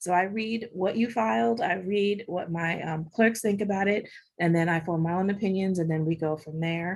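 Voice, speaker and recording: A woman with an ordinary speaking voice, at a medium pitch and moderate pace with ordinary pitch variation, against a quiet background. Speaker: bankruptcy judge. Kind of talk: panel discussion.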